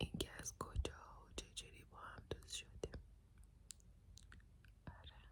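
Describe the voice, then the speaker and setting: A whisper at a fairly slow pace, broken by long, frequent pauses. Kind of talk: ASMR personal story for sleep. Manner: soft-spoken.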